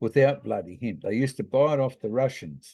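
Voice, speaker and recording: A man speaks at a moderate pace with a New Zealand accent, his pitch medium and his intonation lively. His tone is dark and mellow, and the background is quiet. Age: 70s. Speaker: hemp grower and commentator. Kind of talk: informal talk presentation. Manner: casual, hesitant.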